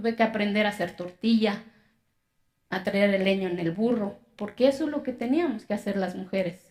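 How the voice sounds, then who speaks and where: A woman with an Oaxacan accent, lively intonation, and a moderate pace. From Mexico, Zapotec community in Oaxaca. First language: Zapotec (speaking Spanish). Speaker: public speaker, accountant. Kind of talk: testimony speech.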